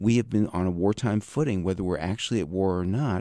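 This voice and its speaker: In a very clean recording with a silent background, a man with an American accent speaks in a fairly low, dark, mellow voice with ordinary pitch variation. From New York metro area. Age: 60s. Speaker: peace activist. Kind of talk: radio interview.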